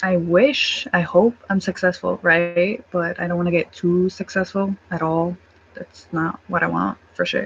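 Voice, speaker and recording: In a somewhat breathy voice of fairly low pitch, a woman speaks fairly slowly with fairly even intonation. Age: 20s. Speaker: vlogger. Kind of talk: casual chat. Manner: halting.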